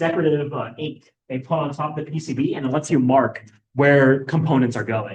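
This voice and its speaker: A somewhat breathy man talks at a fairly quick pace with a fairly high pitch. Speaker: student workshop instructor. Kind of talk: lecture. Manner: fast.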